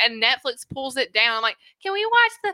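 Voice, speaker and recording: In a Southern US accent, a woman delivers a raised, projected voice at a very fast pace, her tone bright and sharp, her pitch swinging very widely, and the sound dry and close with no echo. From US South. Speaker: host's wife, first-time guest. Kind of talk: casual chat. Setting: studio.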